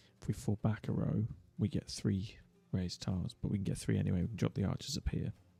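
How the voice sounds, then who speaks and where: A man's fairly low voice with vocal fry, a dark, mellow tone, very wide pitch swings and a very fast pace. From Britain. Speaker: gaming streamer. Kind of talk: live gameplay commentary. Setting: livestream.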